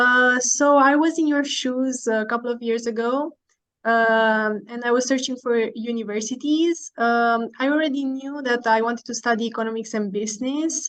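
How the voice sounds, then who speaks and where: A woman's high-pitched voice with a Romanian accent, a moderate pace and fairly even intonation. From Romania, Bucharest. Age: 20s. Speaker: university student. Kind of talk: informational presentation. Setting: online video call.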